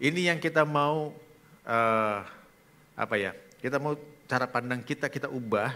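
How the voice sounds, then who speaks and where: A man speaks in a bright, sharp tone with ordinary pitch variation. His pace is moderate, with long, frequent pauses. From Indonesia, Bogor (West Java); West Java, Indonesia. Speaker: pastor. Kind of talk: sermon. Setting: church. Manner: animated. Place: church. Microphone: headset.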